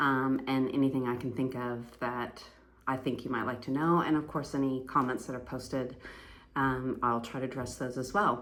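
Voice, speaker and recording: A woman's very deep, low voice with an American accent, monotone, flat intonation and a moderate pace, amid audible room echo. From US Pacific Northwest. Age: 50s. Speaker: fitness vlogger, amateur athlete. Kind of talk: casual vlog monologue. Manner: conversational with many fillers.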